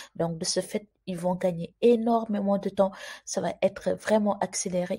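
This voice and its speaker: Soft-spoken and somewhat breathy, a woman with medium pitch and a dark, mellow tone talks at a fairly slow pace with monotone, flat intonation, recorded very cleanly against a silent background. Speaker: YouTuber explaining immigration news. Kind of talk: informational video commentary.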